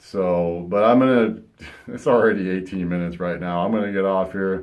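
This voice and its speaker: A man speaks with a very deep, low pitch. Audible room echo is present. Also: ordinary pitch variation, moderate pace. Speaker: vlogger. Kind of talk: personal vlog monologue.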